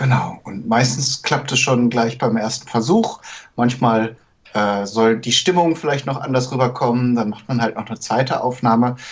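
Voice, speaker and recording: This man talks at a moderate pace in a medium pitch with fairly even intonation. He has an ordinary speaking voice. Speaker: podcast co-host. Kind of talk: casual chat. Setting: home, daughter nearby.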